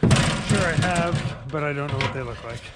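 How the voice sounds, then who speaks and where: The speech has ordinary pitch variation. Audible room echo and noticeable background noise are present. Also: man. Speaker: DIY home builder vlogger. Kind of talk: casual build vlog narration. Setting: outdoors on a roof.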